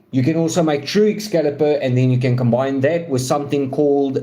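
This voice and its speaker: Over noticeable background noise, a man with a non-native accent speaks at a medium pitch with ordinary pitch variation. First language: not English. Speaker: gaming streamer. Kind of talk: live stream gameplay commentary. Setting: live stream. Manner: casual, halting with fillers.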